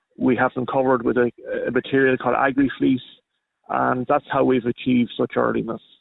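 A man is speaking. He has an Irish Midlands accent. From Ireland, County Longford. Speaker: fruit farmer. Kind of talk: radio interview.

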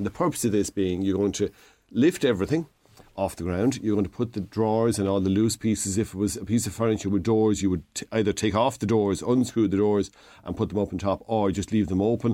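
A very fast man's voice, dark and mellow in tone, with an Irish Midlands accent and ordinary pitch variation, on a very clean recording with a silent background. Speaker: DIY expert. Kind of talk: casual radio chat, DIY advice. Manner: friendly, joking.

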